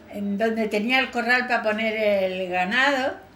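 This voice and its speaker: A woman talks at a fairly slow pace with ordinary pitch variation. Noticeable background noise and audible room echo surround her voice. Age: 80s+. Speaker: elderly local witness. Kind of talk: oral history interview.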